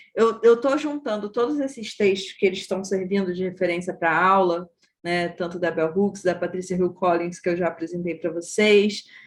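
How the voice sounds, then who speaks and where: Her voice sits at a medium pitch for a woman, and its pitch varies in an ordinary way. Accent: Rio de Janeiro. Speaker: course teacher. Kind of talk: online class.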